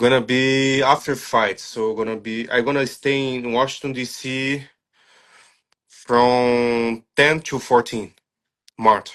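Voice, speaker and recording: A man talks at a very slow pace in a flat, monotone delivery. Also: medium pitch for a man. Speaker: striking coach. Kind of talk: interview. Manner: halting.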